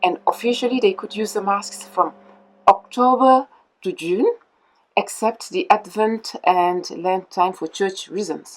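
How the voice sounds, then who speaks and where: A woman of medium pitch with a French accent and ordinary pitch variation. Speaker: mask maker. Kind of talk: interview explaining history. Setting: mask workshop. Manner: hesitant with filler sounds.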